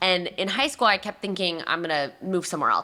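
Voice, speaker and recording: A woman with an American accent, at a very fast pace. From Raleigh, North Carolina. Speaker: nonprofit café founder. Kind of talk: interview.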